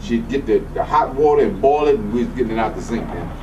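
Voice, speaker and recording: This man speaks very fast, his voice carrying audible room echo over noticeable background noise. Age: 60s. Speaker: holistic health practitioner, acupuncturist. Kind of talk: casual chat.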